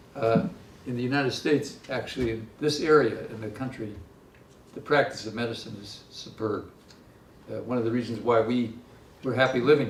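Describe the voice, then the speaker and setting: A man with an American accent talks at a fairly quick pace at medium pitch, with fairly even intonation, big swings in loudness, long, frequent pauses and audible room echo. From US Midwest. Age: 70s. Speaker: economist. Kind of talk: lecture. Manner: halting, many fillers.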